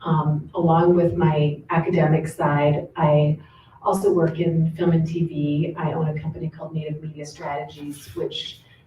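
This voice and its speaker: A woman with an American accent speaks at a very deep, low pitch and a moderate pace. Her voice is somewhat breathy, and her intonation is flat and monotone. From Southern California. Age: 50s. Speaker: professor. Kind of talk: panel talk.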